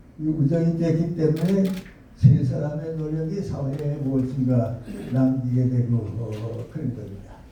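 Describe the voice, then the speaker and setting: Against noticeable background noise, a man with a fairly high pitch speaks at a very slow pace with ordinary pitch variation. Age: 80s+. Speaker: professor, philosopher. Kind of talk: invited lecture.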